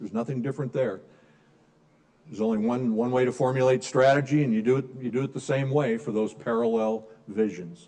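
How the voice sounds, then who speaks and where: A man with an American accent, medium-pitched, dark and mellow in tone, with ordinary pitch variation. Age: 60s. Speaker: business strategy speaker. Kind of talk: lecture. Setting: room with live audience.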